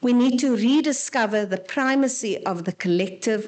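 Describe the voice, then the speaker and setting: A woman with an unremarkable speaking voice talks at a moderate pace with lively intonation. The background is quiet. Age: 60s. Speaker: panel speaker. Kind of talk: seminar presentation.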